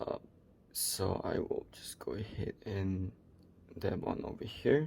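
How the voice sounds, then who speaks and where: Whispering at a very slow pace, a man makes big swings in loudness. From Malaysia. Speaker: miniature painting coach. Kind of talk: painting tutorial with casual chat. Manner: halting, many fillers.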